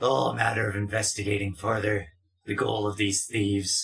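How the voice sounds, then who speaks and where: Putting on a character voice, a man speaks at a fairly low pitch and a moderate pace with fairly even intonation. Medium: actual play. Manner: evasive, calmly deceptive.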